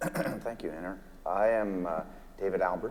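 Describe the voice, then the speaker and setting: With noticeable background noise behind him, a man talks with fairly even intonation. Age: 60s. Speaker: physician and company founder. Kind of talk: panel discussion.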